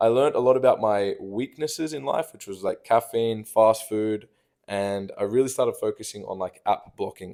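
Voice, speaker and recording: Over a very clean recording with a silent background, a man with an Australian accent talks at a moderate pace, his loudness swinging widely. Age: 20s. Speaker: vlogger. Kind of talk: personal monologue reading own notes. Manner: casual.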